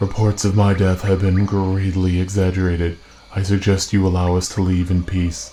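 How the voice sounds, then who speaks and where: A man puts on a character voice with a very deep, low pitch. His delivery is monotone and flat at a moderate pace. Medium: machinima. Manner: grave, measured.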